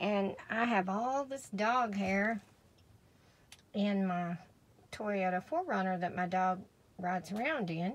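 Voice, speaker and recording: Over light background noise, a woman talks at a very slow pace with lively intonation. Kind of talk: casual product demo. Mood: pleased, enthusiastic. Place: car. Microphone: phone near.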